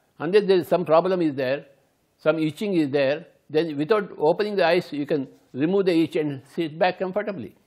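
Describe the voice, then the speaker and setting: Against a quiet background, a man with an Indian accent talks at a fairly quick pace in a high voice with ordinary pitch variation. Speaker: meditation teacher. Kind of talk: guided meditation, instructional talk. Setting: recorded video. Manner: gentle, repetitive, instructive. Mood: calm, slow, gentle. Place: home room.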